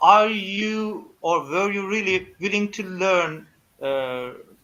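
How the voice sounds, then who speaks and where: Lively intonation colors a man's high-pitched voice as he speaks at a very slow pace. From Turkey. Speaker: live stream host. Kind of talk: live show interview. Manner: halting, many fillers.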